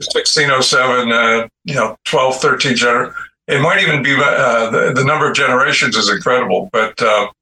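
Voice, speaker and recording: A man speaks in a normal speaking voice, pitched in the middle. He keeps a moderate pace, and his pitch varies in an ordinary way. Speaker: second guest, author. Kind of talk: interview talk.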